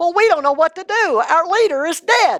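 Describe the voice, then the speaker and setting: Using a put-on character voice, a woman speaks at an extremely high pitch with lively intonation and a moderate pace. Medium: read story. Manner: stammering, nervous.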